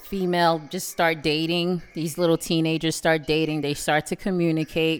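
Her accent is New York. She is a woman with fairly low pitch. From Brooklyn, New York (Canarsie). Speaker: parent and podcast guest. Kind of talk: casual chat.

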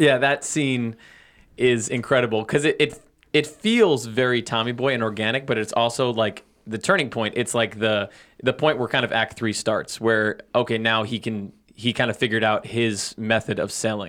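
Over a silent background in a very clean recording, a man with an unremarkable speaking voice speaks at a moderate pace in a medium pitch with fairly even intonation. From Long Island, US. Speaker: podcast guest host. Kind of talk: casual chat.

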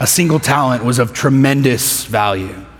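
An American accent and lively intonation, with audible room echo and noticeable background noise. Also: man. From Texas (Midland, West Texas). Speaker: pastor. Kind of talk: sermon.

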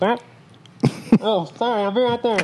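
A woman's put-on character voice, fairly high in pitch and fairly slow in pace. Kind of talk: customer service, polite.

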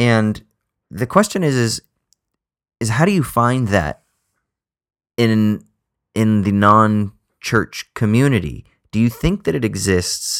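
With an American accent, a man speaks at a fairly slow pace in a fairly low pitch with lively intonation, on a very clean recording with a silent background and a dry, close sound with no echo. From Southern California. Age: 30s. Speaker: podcast co-host. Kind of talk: casual chat.

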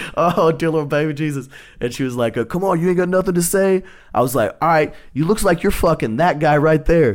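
With a Texan accent, a man with a fairly high pitch speaks at a fairly quick pace in a very clean recording with a silent background. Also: ordinary pitch variation. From Texas. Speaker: stand-up comedian. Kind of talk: casual chat.

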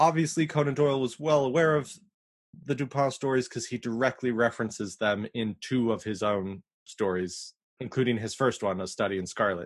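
In a plain, everyday voice, a man speaks at a fairly quick pace with medium pitch and ordinary pitch variation against a quiet background. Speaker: podcast co-host. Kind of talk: casual chat.

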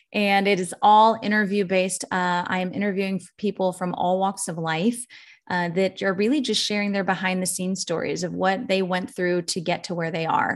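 This woman has an unremarkable speaking voice, medium in pitch, with fairly even intonation, a moderate pace and hardly any pauses. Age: 40s. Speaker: musician and life coach. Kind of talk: casual chat.

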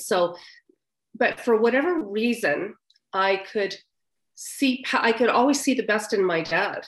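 A woman with a plain, everyday voice, speaking at a fairly slow pace with ordinary pitch variation. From Canadian Maritimes. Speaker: author. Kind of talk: interview. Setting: video call.

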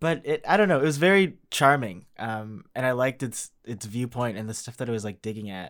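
In a very clean recording with a silent background, an unremarkable speaking voice moves at a moderate pace with lively intonation. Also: man. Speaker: podcast host. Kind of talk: casual chat.

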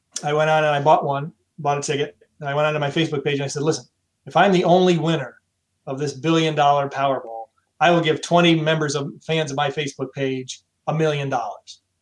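This man talks at a very fast pace in a fairly high pitch. His intonation is flat and monotone. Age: 50s. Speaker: marketing and sales business owner. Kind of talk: casual interview.

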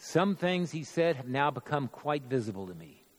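With very wide pitch swings, a man speaks at a fairly high pitch and a moderate pace. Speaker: church member performing dramatic monologue. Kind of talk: first-person dramatic monologue in character as a biblical figure at the cross. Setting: church midweek worship service. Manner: rising from confessional regret to bold, resolute proclamation; solemn, measured, theatrical storytelling cadence.

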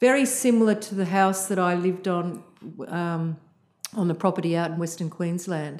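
Her pitch is fairly low. She has an Australian accent. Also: ordinary pitch variation, moderate pace. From Australia (Sydney). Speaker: visual artist and art lecturer. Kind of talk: interview. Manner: halting, many fillers.

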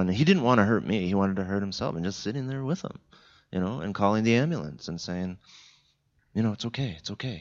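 An unremarkable speaking voice from a man with a Canadian accent, fairly low in pitch, with ordinary pitch variation. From Southern Ontario, Canada (Niagara region). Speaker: church guest speaker. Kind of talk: conversational interview in church service. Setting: church service with congregation.

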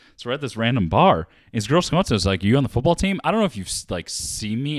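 At a very fast pace, a man with a medium pitch makes very wide pitch swings, captured in a very clean recording with a silent background. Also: dry, close sound with no echo. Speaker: podcast host. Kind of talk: casual chat.

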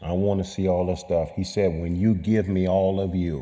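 Fairly slow speech in an American accent, dark and mellow in tone, with audible room echo. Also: man. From California. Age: 60s. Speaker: coach and speaker at a church gathering. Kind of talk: testimony.

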